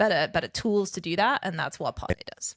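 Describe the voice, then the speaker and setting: A woman's medium-pitched voice with fairly even intonation, dry and close with no echo, on a very clean recording with a silent background. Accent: English. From France, English family from southern England. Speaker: startup founder. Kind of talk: podcast interview. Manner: articulate, eloquent.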